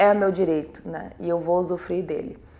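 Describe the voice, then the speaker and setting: A woman speaks in an unremarkable speaking voice. Her pitch sits in the middle range and rises and falls in an ordinary way. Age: 30s. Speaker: former quota student interviewee. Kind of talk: documentary interview.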